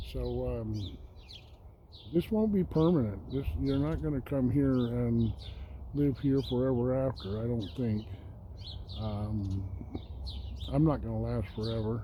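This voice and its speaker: Speech proceeds at a fairly slow pace. Pauses are frequent and long. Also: man. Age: 60s. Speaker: homesteader and vlogger. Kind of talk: casual vlog talk to camera. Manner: halting, many fillers.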